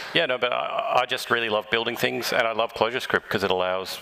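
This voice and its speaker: Noticeable background noise sits under the voice. The pitch variation is ordinary. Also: man. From Australia. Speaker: software developer. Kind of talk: live podcast interview.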